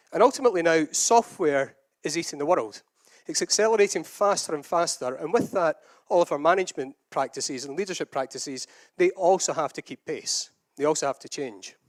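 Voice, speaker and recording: A man with a Scottish accent at a fairly quick pace and high pitch, with lively intonation, big swings in loudness and a dry, close sound with no echo. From Scotland. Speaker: agile consultant and conference speaker. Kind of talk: conference talk.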